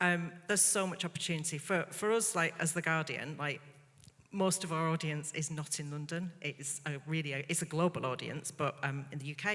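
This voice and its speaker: Very deep, low-pitched woman's voice with a slight northern English accent, fairly even intonation and a moderate pace. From northern England, Bolton. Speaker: media executive on quiz panel. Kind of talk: panel discussion.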